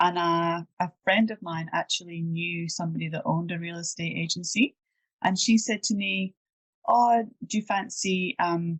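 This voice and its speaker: With a Scottish accent, a woman talks at a moderate pace in a fairly low, somewhat breathy voice with ordinary pitch variation, the sound dry and close with no echo against a quiet background. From Scotland, Edinburgh. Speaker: property manager. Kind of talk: interview.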